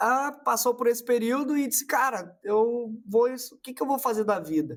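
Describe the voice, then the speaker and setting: A man with a southern Brazilian accent, extremely high-pitched, at a fairly slow pace with ordinary pitch variation. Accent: gaúcho. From southern Brazil (Rio Grande do Sul). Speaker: marketing consultant. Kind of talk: casual interview.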